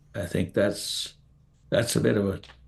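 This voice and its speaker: The man's voice is somewhat breathy and his pace fairly slow. The background is quiet. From Netherlands, grew up partly in Eastern Ontario. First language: Dutch. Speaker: immigrant family member interviewed. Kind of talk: Q&A interview. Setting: live stream.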